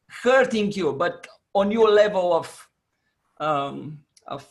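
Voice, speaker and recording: A very slow pace marks this speech. It comes with a non-native accent. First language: not English. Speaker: coach. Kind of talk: online Q&A advice. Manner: halting.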